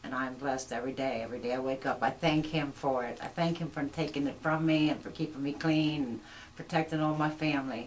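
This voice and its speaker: A woman with an American accent speaks very fast at a very deep, low pitch. Noticeable background noise is present. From York, Pennsylvania, US. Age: 60s. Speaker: recovering addict, church member. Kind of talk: testimony.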